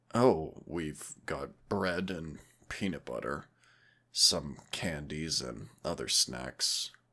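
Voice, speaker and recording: A man puts on a raspy character voice at a very deep, low pitch with ordinary pitch variation. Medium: solo performance. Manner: warm, gentle, affectionate.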